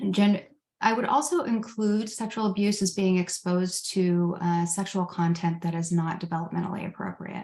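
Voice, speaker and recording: A woman speaks at a moderate pace and medium pitch, somewhat breathy, in fairly even intonation. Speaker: trauma coaching trainer. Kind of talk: lecture. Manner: halting, with many fillers.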